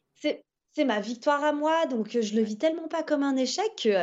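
A woman with an unremarkable speaking voice and lively intonation. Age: 30s. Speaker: retired freestyle skier. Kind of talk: casual interview. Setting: remote call from home.

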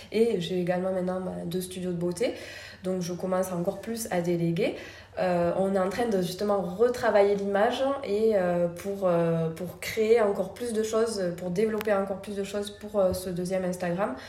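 Soft-spoken and medium-pitched, a woman talks at a moderate pace with fairly even intonation, audible room echo and noticeable background noise. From France, Toulouse. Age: 30s. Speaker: beauty studio founder and trainer. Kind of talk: interview conversation. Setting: in her beauty studio. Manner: soft-spoken and smiling.

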